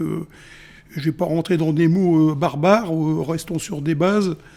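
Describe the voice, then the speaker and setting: Fairly high in pitch, a man talks with fairly even intonation and a dark, mellow tone. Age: 60s. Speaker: ambulance worker. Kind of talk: radio interview. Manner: halting, many hesitations.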